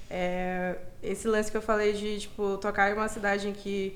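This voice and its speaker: Monotone, flat intonation from a woman at a medium pitch, with audible room echo. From Brazil, Maranhão (São Luís). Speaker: DJ and party collective founder. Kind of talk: casual interview.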